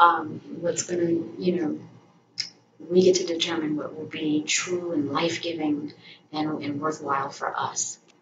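Over noticeable background noise, a woman with a very deep, low voice speaks at a fairly slow pace in a monotone, flat way. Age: 40s. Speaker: vlogger. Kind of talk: personal vlog monologue. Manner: halting, many fillers. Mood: reflective, calm. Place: home room.

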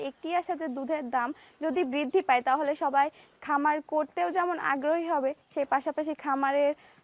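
A woman speaks in a high voice. The sound is dry and close, with no echo. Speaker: agricultural reporter. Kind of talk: presenter piece to camera; field interview.

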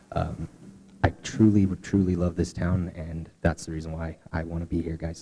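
A man with an American accent speaks at a moderate pace with a very deep, low pitch and a dark, mellow tone. His voice is somewhat breathy, and his intonation is monotone and flat. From Cortez, Colorado. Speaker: city council candidate. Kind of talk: candidate forum statement.

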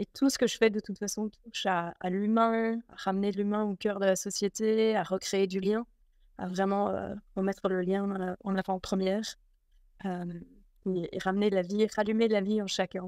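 A woman talks at a moderate pace with monotone, flat intonation, in a dry sound with no echo against a quiet background. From Belgium. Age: 40s. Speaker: spiritual teacher; interview guest. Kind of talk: casual interview. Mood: warm, calm, reflective. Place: home room. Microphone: video call.

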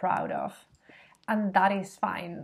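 A woman speaks at a very slow pace. Her medium-pitched voice is somewhat breathy. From Spain. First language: Spanish. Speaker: feminist shop co-founder; vlogger. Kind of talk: vlog monologue to camera. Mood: reflective, earnest. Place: home room. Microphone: webcam.

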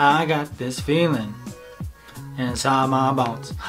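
Faint music plays in the background as a man speaks. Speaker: baking channel host. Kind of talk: casual vlog chat. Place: home room.

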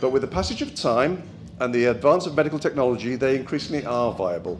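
A man talks with music playing in the background. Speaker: speaker. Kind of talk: speech. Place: hall. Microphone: handheld.

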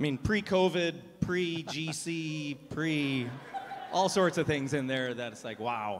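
A man speaks with lively intonation over light background noise. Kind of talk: announcements to a congregation. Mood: jokey, upbeat. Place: church. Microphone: handheld.

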